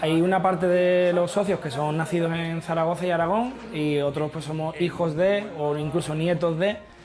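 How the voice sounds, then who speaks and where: Hardly any pauses break up the talking, which keeps a moderate pace. Behind it, noticeable background noise can be heard. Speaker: football supporters' club member. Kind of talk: interview answer.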